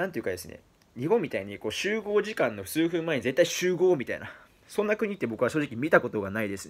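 Talking at a very fast pace, a man uses a fairly high pitch with very wide swings, big swings in loudness, and vocal fry. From Japan, Fukuoka; Japan. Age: 20s. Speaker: vlogger. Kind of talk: monologue to camera. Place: home room. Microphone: phone near.

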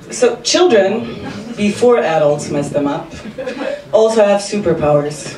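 A woman speaking at a fairly slow pace with long, frequent pauses, over noticeable background noise. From Slovenia. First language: Slovenian. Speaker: service designer and amateur comedian. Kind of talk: stand-up comedy set with self-deprecating punchlines. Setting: stage with audience. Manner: wry, self-mocking delivery timed for audience laughs; brisk, run-on setups building to punchlines. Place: stage.

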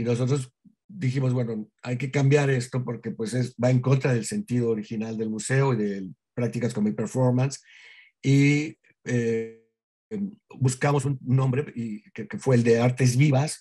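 At a fairly slow pace, a man with a medium pitch and a dark, mellow, somewhat breathy tone speaks with ordinary pitch variation over a quiet background. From Mexico. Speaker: museum director; guest. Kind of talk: interview conversation. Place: home room. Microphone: webcam.

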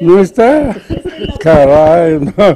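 A man talks at a very slow pace and a high pitch. Light background noise is present. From Cajamarca, Peru. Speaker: painter. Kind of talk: interview answer. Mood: playful, humorous. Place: hall. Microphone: handheld.

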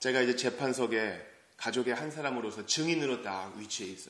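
There is audible room echo around a man with a medium pitch. He talks at a moderate pace in an animated, dramatic tone. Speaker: preacher. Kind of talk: sermon at early-morning church service. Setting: church. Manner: animated, conversational, dramatic storytelling with rhetorical questions. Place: church.

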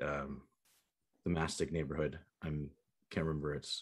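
Vocal fry runs through a man's very deep, low voice. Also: quiet background. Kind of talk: presentation to commission. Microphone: video call.

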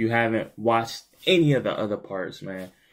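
Over a quiet background, a man with a fairly low voice talks at a moderate pace with ordinary pitch variation. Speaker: gaming youtuber. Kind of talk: casual vlog chat.

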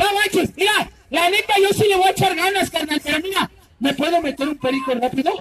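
A man puts on a character voice at an extremely high pitch. He talks at a fairly quick pace. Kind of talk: comic overacting. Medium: stage play. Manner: loud, cocky, teasing.

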